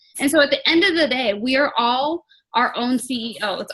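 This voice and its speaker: Lively intonation runs through a woman's high-pitched speech. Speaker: team leader in direct sales business. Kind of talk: team call pep talk. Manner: fast.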